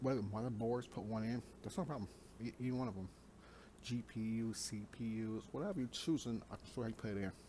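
Here a man speaks at a fairly quick pace and medium pitch. His tone is dark and mellow, with ordinary pitch variation. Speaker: gaming YouTuber. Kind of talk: casual vlog monologue. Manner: fast talker; talkative, rambling.

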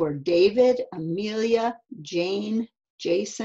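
Over a quiet background, the intonation is lively as a text is read aloud in a natural voice.

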